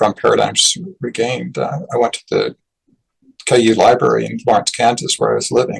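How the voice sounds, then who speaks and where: A man with an American accent at a moderate pace, dry and close with no echo. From Utah. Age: 60s. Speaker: author. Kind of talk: interview conversation.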